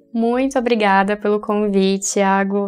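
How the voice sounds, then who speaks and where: A woman's medium-pitched voice, monotone and flat in intonation, at a fairly slow pace. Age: 20s. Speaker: pharmacy student and content creator. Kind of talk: casual interview.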